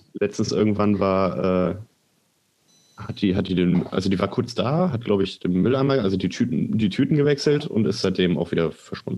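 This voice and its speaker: Speaking at a moderate pace, a man uses a dark, mellow, fairly low voice with lively intonation. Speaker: podcast co-host. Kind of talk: casual chat.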